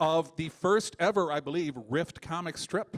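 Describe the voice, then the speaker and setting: With a Chicago accent, a man speaks at a moderate pace in a high pitch, with ordinary pitch variation. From Chicago, US Midwest. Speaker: comedian. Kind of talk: live comedy show banter. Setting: stage with audience.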